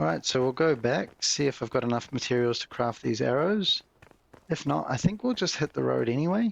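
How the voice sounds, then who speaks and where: A man with a New Zealand accent talks at a fairly quick pace in a medium pitch, his voice swinging very widely up and down, recorded dry and close with no echo. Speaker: gaming YouTuber. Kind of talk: gameplay commentary. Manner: casual, relaxed.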